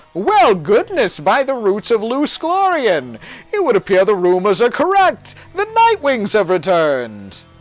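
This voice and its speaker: Faint music plays behind a put-on character voice pitched fairly high. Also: moderate pace. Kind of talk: archaic fantasy diction. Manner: courtly, exclamatory.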